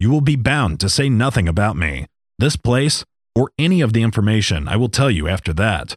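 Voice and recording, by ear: Reading aloud in a natural voice, with lively intonation against a quiet background.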